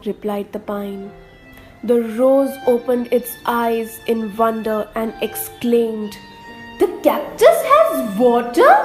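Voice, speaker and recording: Over background music, a woman speaks at a very slow pace with a high pitch and lively intonation. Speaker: radio jockey; voice-over artist. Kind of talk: children's story narration.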